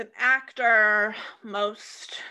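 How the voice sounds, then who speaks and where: This woman has a medium pitch, a bright, sharp tone and ordinary pitch variation. She speaks with an American accent. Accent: Midwestern American, sometimes thick. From Iowa, US Midwest (Des Moines). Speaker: podcast co-host. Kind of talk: casual chat. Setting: home recording.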